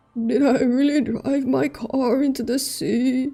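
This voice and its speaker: Over light background noise, a put-on character voice moves at a fairly slow pace. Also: woman, high pitch for a woman. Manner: bewildered.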